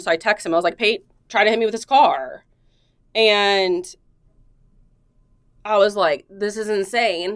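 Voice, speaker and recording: Her voice sits at a medium pitch for a woman, with ordinary pitch variation. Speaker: police detective. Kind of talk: internal affairs interview. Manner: loud.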